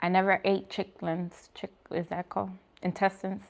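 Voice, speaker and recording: A woman speaks at a medium pitch with a New York accent. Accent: New York accent, Bronx. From New York, the Bronx. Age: 30s. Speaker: vegan food vlogger. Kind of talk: casual chat with live viewers. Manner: casual, hesitant with fillers.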